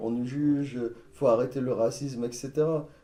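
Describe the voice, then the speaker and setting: The voice moves at a very slow pace in a dark, mellow tone. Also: man. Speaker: sound engineer and entrepreneur. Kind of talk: casual chat.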